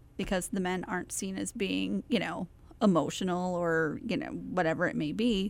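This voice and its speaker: A woman with vocal fry speaks at a moderate pace in a medium pitch, her pitch varying in an ordinary way. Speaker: podcast co-host. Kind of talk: casual chat.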